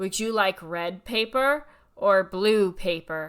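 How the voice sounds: A put-on character voice, female-sounding, at a middle pitch and a fairly slow pace.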